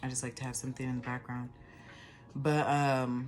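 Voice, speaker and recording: A woman's very deep, low voice, flat and monotone at a fairly quick pace, with music in the background. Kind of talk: casual talk to camera.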